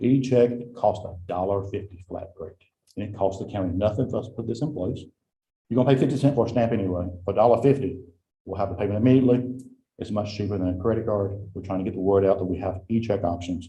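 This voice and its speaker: A man with an American accent talks very fast in a fairly low, somewhat breathy voice. His tone is dark and mellow, with ordinary pitch variation. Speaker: county tax administrator. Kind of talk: report to a county board.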